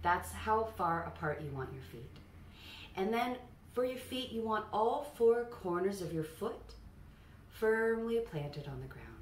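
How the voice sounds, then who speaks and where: A woman at a medium pitch speaks fairly slowly, her pitch swinging very widely between long, frequent pauses, with light background noise and audible room echo. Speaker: voice coach. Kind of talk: tutorial. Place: home room. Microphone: camera far.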